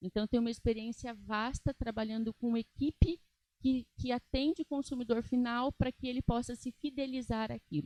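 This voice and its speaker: A high-pitched woman with a dark, mellow tone, ordinary pitch variation and a moderate pace, in a dry, close sound with no echo. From Brazil, interior of São Paulo state. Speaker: aesthetic nurse and lecturer. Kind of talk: lecture. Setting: stage with audience.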